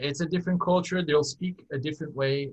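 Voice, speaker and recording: A somewhat breathy man with a Brazilian accent and ordinary pitch variation. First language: Portuguese. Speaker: airline captain. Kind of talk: interview conversation. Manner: halting, many fillers and restarts.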